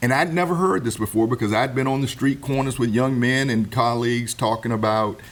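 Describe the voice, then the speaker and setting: There is noticeable background noise as a man speaks in an American accent at a fairly quick pace. His medium pitch moves with ordinary variation, and his loudness stays very even. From Virginia. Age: 60s. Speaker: Air Force veteran. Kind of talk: talk show discussion. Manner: repetitive stammering restarts.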